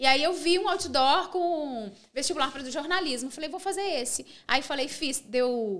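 A woman talks in a high voice at a moderate tempo. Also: lively intonation, big swings in loudness. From Minas Gerais, Brazil (small interior town). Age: 40s. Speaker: TV presenter and speaker. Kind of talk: casual interview.

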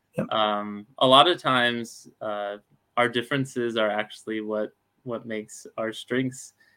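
This man has a normal speaking voice, a medium pitch, fairly even intonation, a fairly slow pace and an American accent. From Alabama, US South. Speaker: startup founder. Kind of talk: webinar interview.

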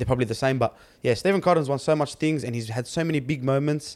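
A man talks at a very fast pace with an Australian accent. The recording is very clean, with a silent background. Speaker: sports podcast co-host. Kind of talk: casual chat. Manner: animated.

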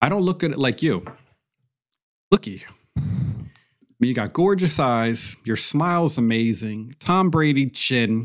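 In a very clean recording with a silent background, a man speaks at medium pitch and a fairly slow pace, with lively intonation and long, frequent pauses. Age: 40s. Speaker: podcast co-host. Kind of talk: casual chat.

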